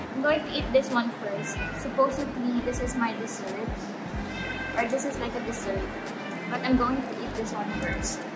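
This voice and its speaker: Over music in the background, a woman speaks at a moderate pace with long, frequent pauses. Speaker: food vlogger. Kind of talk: casual vlog chat. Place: cafe. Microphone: phone near.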